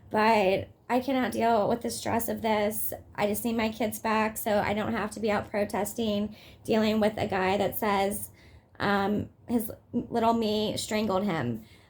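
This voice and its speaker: A woman's fairly high voice with vocal fry, monotone, flat intonation and a fairly slow pace. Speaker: mother in custody dispute vlogging. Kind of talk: personal vlog update. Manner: agitated, hesitant with fillers.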